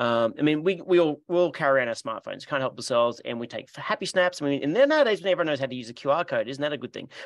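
Talking very fast with hardly any pauses, a man speaks in an Australian accent. His intonation is lively and his loudness swings a lot. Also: fairly high pitch for a man. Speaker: podcast host. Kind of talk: casual interview chat.

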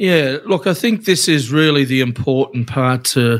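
Speaking at a fairly slow pace, a man with an Australian accent has a medium pitch. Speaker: union official. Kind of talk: casual chat.

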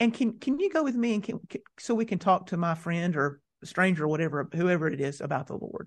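In a Southern US accent, the speaker goes at a very fast pace with hardly any pauses. The intonation is lively, and the background is quiet. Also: man, high pitch for a man. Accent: Southern American. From US South, mountains of North Carolina. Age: 40s. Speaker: seminary professor of evangelism. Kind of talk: interview. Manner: halting, frequent repetitions.

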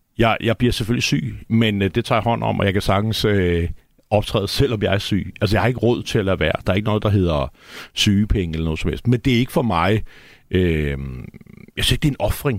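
Very fast in pace, a man with a fairly low pitch and ordinary pitch variation comes through on a very clean recording with a silent background. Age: 40s. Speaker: poet. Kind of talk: studio conversation. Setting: radio studio.

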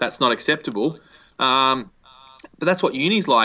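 Speaking at a fairly quick pace with an Australian accent, a man uses a medium pitch and ordinary pitch variation. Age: 20s. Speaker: education entrepreneur. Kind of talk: interview. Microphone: echo in the recording.

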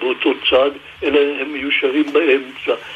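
The speech goes at a very slow pace. Noticeable background noise is present. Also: man. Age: 90s. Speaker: book designer. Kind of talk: radio interview. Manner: halting, many filler sounds.

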